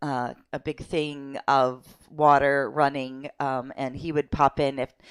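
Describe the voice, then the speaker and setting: The recording is very clean, with a silent background and a dry, close sound free of echo. A woman speaks with a very deep, low pitch and fairly even intonation. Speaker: online English teacher. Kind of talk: casual vlog. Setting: home office. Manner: halting, many fillers.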